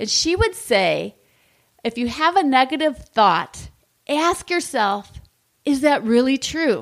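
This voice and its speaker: A woman speaks loudly in a high voice, her tone upbeat and her intonation lively. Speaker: leadership podcast host. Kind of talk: motivational talk.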